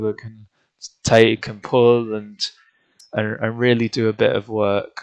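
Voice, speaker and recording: This man has a British accent and a medium pitch, speaking at a fairly slow pace in a monotone, flat way. The sound is dry and close, with no echo. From UK. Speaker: gaming streamer. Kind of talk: live gameplay commentary. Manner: casual, hesitant with fillers.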